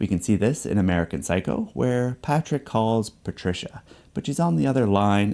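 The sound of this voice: The intonation is lively. It is delivered in an unforced reading voice.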